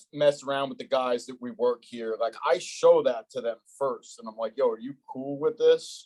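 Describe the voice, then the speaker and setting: Moderate pace in a New Jersey accent, with big swings in loudness. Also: man, dry, close sound with no echo. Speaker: podcast host. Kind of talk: casual interview. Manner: blunt, direct.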